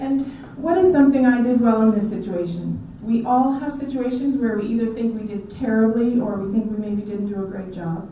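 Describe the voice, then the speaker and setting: With hardly any pauses, a woman talks at a fairly quick pace and fairly high pitch with ordinary pitch variation, amid noticeable background noise and audible room echo. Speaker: conference speaker. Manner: shaky when speaking long.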